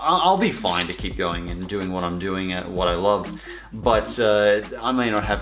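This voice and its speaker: Amid noticeable background noise and audible room echo, a man with a very deep, low pitch speaks at a moderate pace with ordinary pitch variation. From Canada. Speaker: YouTuber. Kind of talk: reading fan mail, casual chat. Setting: home lounge room. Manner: halting, many fillers.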